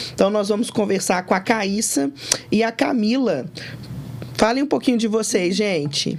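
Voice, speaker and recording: Pausing long and often, a woman speaks at a medium pitch over noticeable background noise. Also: lively intonation, moderate pace, very even loudness. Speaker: company CEO and podcast co-host. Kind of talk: podcast conversation.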